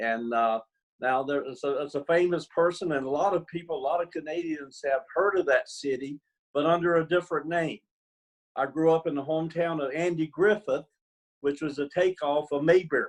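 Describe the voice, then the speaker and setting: A man speaks at a fairly quick pace. His voice is fairly high in pitch. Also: ordinary pitch variation. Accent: Southern US. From US South, North Carolina (Mount Airy, Surry County). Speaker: retired basketball coach. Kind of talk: interview.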